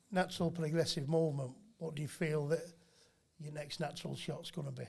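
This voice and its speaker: A man speaks in a flat monotone with a Yorkshire accent. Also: fairly high pitch for a man, fairly quick pace. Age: 50s. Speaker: boxing trainer. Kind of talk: casual chat.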